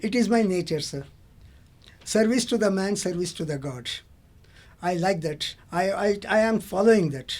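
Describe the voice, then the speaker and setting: A man with a high pitch speaks in an Indian accent, leaving long, frequent pauses. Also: ordinary pitch variation, moderate pace. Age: 70s. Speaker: auto rickshaw driver, retired English lecturer. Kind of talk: interview answer. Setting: studio.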